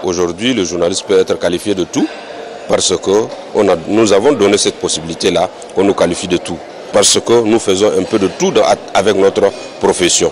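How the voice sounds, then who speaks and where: A man speaks with long, frequent pauses and very even loudness, the sound dry with no echo and the background noise noticeable. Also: moderate pace. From Chad. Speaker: journalist, organising committee member; journalist. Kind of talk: interview. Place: hall. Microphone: handheld.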